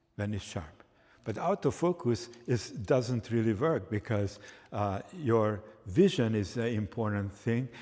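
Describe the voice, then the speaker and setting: Speaking at a fairly slow pace, a man with a Hungarian accent uses lively intonation. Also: medium pitch for a man. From Hungary. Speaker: photography instructor. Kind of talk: live workshop demonstration.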